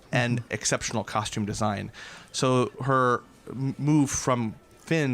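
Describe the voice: Ordinary pitch variation in plain reading aloud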